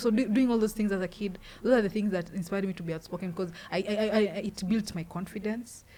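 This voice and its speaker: A woman talks at a fairly quick pace, her voice somewhat breathy and her intonation fairly even. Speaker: street poet. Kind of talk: casual interview. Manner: halting.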